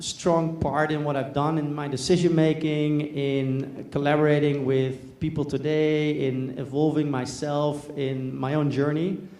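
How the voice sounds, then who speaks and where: A man's fairly high-pitched, monotone, flat voice amid noticeable background noise and audible room echo. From Netherlands. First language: Dutch. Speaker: business executive, presenter. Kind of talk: conference talk. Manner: hesitant, many fillers.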